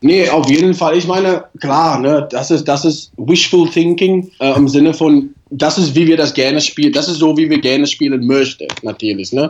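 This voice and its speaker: A man speaks with a non-native accent at a fairly high pitch and moderate pace. His pitch varies in an ordinary way, with hardly any pauses. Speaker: rugby national team coach. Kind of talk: interview. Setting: remote call. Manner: halting.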